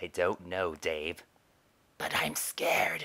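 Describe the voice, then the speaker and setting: A raspy put-on character voice from a man, very deep and low, at a very slow pace. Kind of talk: improvised comedy fandub. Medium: dub. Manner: grumbling, excitable.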